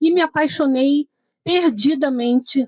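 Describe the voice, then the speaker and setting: A woman's high-pitched voice with lively intonation, in a dry, close sound with no echo. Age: 60s. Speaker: retired solo traveler. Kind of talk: panel discussion. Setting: trade fair stand with live audience.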